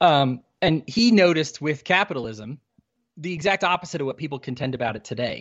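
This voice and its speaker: Speaking at a fairly quick pace, a man with a plain, everyday voice uses lively intonation at a fairly high pitch. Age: 30s. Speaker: libertarian podcaster. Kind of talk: casual interview.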